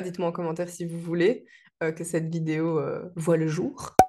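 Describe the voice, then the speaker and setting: The intonation is monotone and flat. Its tone is dark and mellow. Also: woman. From Belgium. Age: 20s. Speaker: vlogger, virtual assistant. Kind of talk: casual vlog introduction. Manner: hesitant, frequent fillers.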